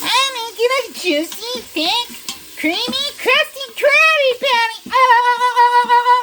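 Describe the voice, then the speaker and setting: A man uses a put-on character voice at an extremely high pitch. He talks at a very slow pace with hardly any pauses. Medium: tutorial demo.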